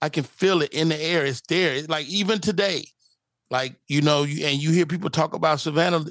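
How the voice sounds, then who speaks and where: This is a normal speaking voice with ordinary pitch variation, delivered at a moderate pace over a quiet background. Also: man. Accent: American. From Chicago. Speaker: stand-up comedian. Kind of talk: casual interview chat.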